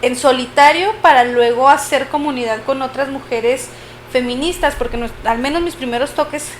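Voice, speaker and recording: A woman speaks at a high pitch and fairly slow pace in a northern Mexican accent. Her pitch varies in an ordinary way over noticeable background noise. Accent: northern Mexican (Chihuahua). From Chihuahua, northern Mexico. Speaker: podcast host. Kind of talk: casual podcast conversation. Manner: frequent filler hesitations.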